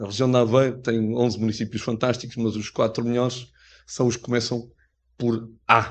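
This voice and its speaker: A man talks in a monotone, flat intonation at a medium pitch. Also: moderate pace, quiet background. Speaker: mayor. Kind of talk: formal speech at book presentation. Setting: pavilion event with audience, interpreted. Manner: hesitant, many fillers.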